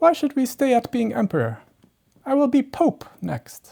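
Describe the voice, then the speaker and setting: A put-on character voice comes at a fairly high pitch and a moderate pace. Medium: read story. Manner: imperious, demanding.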